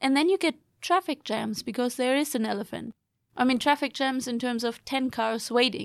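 A woman's high voice at a moderate pace with ordinary pitch variation, dry and close with no echo, on a very clean recording with a silent background. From Germany. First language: German. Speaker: PhD student and course instructor. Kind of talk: casual chat.

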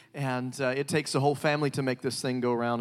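Fairly quick speech from a man of medium pitch with a Southern US accent. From US South. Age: 30s. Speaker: evangelist. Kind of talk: sermon. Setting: church. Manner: animated.

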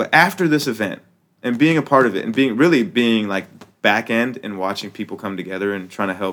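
A man with an ordinary speaking voice and an American accent, lively intonation and a fairly quick pace. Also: medium pitch for a man. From United States. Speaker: rapper and activist. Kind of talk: casual chat. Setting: studio.

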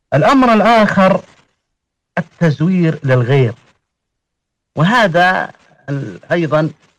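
This man's delivery is very slow. He uses lively intonation. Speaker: genealogist and religious scholar. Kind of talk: panel discussion. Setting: online audio room.

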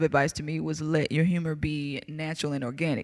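A woman with a Southern US accent talks at a fairly quick clip in a very deep, low voice, recorded very cleanly against a silent background. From US South. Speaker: comedian. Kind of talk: casual chat.

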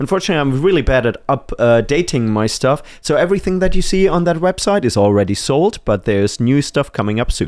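On a very clean recording with a silent background, a man with a German accent talks at a very fast pace with a fairly high pitch, very wide pitch swings and very even loudness. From Germany. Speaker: men's rights activist. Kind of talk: casual chat.

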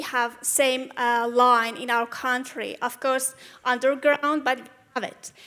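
A woman speaks at a fairly slow pace in a high pitch with a bright, sharp tone. Her intonation stays monotone and flat. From Iran. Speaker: audience member. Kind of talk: audience question. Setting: stage with audience. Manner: halting.

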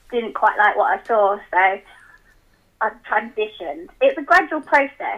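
At a fairly slow pace, a woman talks in a fairly high pitch that swings very widely. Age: 20s. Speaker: book club member, caller. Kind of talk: casual chat. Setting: phone call.

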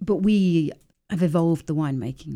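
A woman speaks in an English accent with a dark, mellow tone. Her pace is fairly quick. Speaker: winemaker. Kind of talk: interview. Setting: studio.

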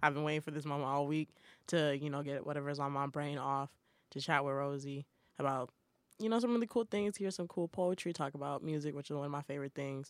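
On a very clean recording with a silent background, a woman with an American accent talks very fast in a very deep, low voice with ordinary pitch variation. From Boston. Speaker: college radio podcast host. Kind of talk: casual chat. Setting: studio.

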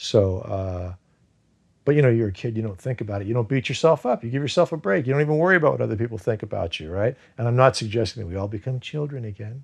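A man's medium-pitched, somewhat breathy voice at a very fast pace, with lively intonation. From US (moved from Iran at age two). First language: Farsi. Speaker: actor. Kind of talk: casual chat. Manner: animated.

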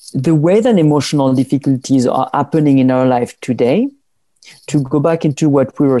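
Speaking in a French accent, a man has a fairly high pitch and a dark, mellow tone at a moderate pace. The sound is dry and close with no echo over a quiet background. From southern France.

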